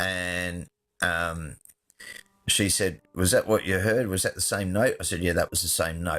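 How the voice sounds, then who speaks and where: A man with an Australian accent and a very deep, low pitch, fairly slow and fairly even in intonation, on a very clean recording with a silent background and a dry, close sound with no echo. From Adelaide, Australia. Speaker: film and television director. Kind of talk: storytelling.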